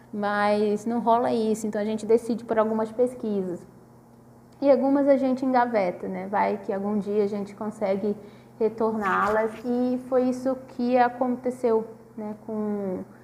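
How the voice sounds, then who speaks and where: Fairly slow and fairly high in pitch, a woman speaks with a dark, mellow tone and fairly even intonation. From northern Brazil, Manaus. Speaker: PhD student researcher. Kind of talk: casual video talk about research. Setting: self-recorded video at a table. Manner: hesitant, many fillers.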